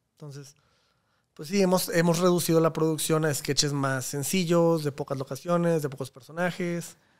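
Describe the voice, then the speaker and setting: A normal speaking voice moves at a moderate pace with fairly even intonation against a quiet background. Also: man, fairly high pitch for a man. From Mexico. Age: 30s. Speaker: podcast host and comedy channel producer; podcast host. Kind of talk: casual interview chat. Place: home room. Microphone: studio mic.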